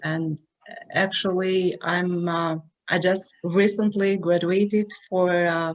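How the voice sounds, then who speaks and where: Someone speaks with an Albanian accent at a very slow pace in monotone, flat intonation. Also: woman, medium pitch for a woman. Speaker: psychologist, forum participant. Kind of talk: online forum discussion. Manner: halting.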